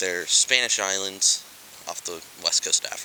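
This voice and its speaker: Moderately paced male speech against noticeable background noise. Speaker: vlogger living on a sailboat. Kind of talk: casual vlog narration.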